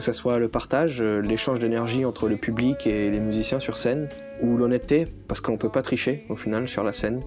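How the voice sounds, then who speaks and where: With music in the background, a man speaks fairly quickly, his intonation fairly even. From New Caledonia. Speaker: folk musician. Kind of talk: interview answer.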